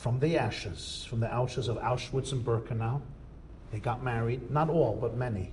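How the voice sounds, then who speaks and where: In an audible room echo, a man with an American accent speaks at medium pitch and a moderate pace, with fairly even intonation. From United States. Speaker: rabbi lecturer. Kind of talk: lecture.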